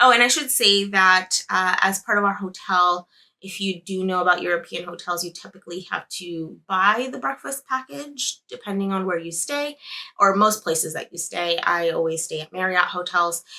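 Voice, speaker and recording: The voice has a bright, sharp tone and a moderate pace. Its loudness swings widely. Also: woman, medium pitch for a woman, ordinary pitch variation. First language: Spanish. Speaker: knitting podcaster. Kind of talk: casual vlog monologue. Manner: conversational with fillers.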